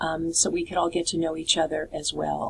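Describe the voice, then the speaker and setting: She speaks with an American accent. The woman's pace is moderate. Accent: New York accent, at times. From New York City. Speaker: college instructor. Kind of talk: course introduction video. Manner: casual, many filler words.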